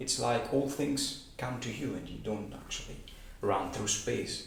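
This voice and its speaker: A man speaks very slowly with ordinary pitch variation in a room with audible echo. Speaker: amateur physics enthusiast. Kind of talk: explainer monologue. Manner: halting, many fillers.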